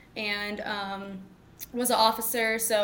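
A woman with an American accent speaks at a fairly high pitch in a monotone, flat way. Audible room echo surrounds her voice. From Texas (Mansfield, DFW area). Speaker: pro sports team dancer. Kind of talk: interview conversation.

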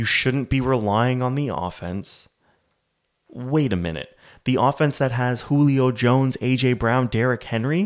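In a plain, everyday voice, a man with a Canadian accent speaks at a fairly slow pace and a medium pitch. The recording is very clean, with a silent background. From Canada. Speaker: sports podcast host. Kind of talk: casual sports commentary monologue.

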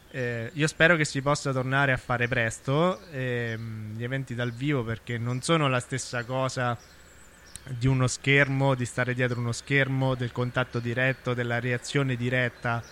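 Flat, monotone intonation from a man at a medium pitch and a moderate pace. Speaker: podcaster and performer. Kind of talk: solo monologue. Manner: improvised, with hesitations.

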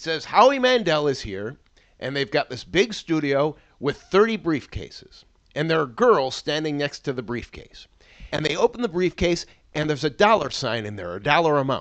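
A man at a moderate pace, fairly high in pitch, with very wide pitch swings and big swings in loudness. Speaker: TV podcast host. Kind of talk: casual banter.

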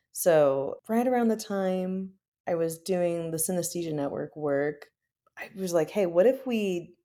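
Speaking very slowly, a woman with an American accent has a dark, mellow tone. Her pitch is fairly low, with ordinary variation. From US Midwest. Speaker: software engineer and violinist. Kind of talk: casual interview. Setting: home office, remote recording.

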